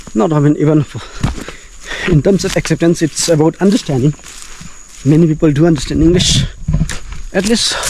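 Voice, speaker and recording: Over noticeable background noise, a man talks at a fairly quick pace in a fairly high pitch with ordinary pitch variation and long, frequent pauses. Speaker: travel vlogger. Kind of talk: vlog narration while walking outdoors. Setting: outdoors in forest and hills. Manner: halting, self-correcting.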